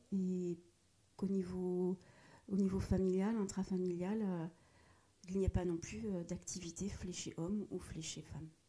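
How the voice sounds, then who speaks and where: A woman speaks at a medium pitch in a dark, mellow, somewhat breathy tone with fairly even intonation. Her pace is fairly slow, with long, frequent pauses. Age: 40s. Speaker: corporate social responsibility professional. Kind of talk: casual interview. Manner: hesitant, many fillers.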